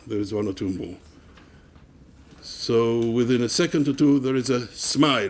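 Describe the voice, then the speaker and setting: Someone with an Israeli accent talks at a fairly slow pace with ordinary pitch variation. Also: man. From Israel/Palestine, Jerusalem. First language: Hebrew. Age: 70s. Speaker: activist and academic. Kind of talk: public talk. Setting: university common room with audience. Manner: halting.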